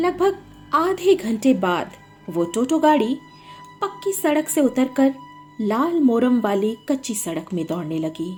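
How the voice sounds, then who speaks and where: A woman speaks in a high voice with very wide pitch swings over music in the background. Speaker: storyteller and writer. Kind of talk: horror story narration.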